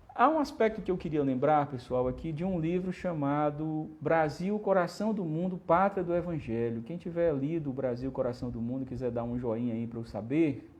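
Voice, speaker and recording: With audible room echo, a man with fairly high pitch speaks with lively intonation and hardly any pauses. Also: moderate pace. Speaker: spiritist lecturer. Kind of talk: lecture. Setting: livestream.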